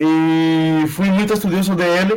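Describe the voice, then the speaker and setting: A man's voice with fairly even intonation. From Cuba, Bayamo. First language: Spanish (speaking Portuguese). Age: 40s. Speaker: Cuban immigrant, industrial engineer. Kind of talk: interview, life story.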